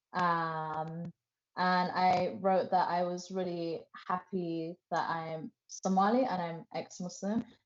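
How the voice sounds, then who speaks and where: This woman has a fairly low pitch and a British accent. She talks at a very slow pace with fairly even intonation. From England. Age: 20s. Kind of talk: interview testimony.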